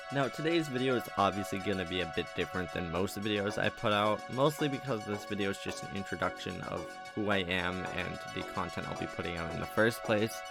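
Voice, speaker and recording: With music in the background, a man talks at a fairly quick pace and a fairly low pitch, with hardly any pauses and ordinary pitch variation. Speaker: horror channel host. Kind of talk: casual voiceover introducing channel.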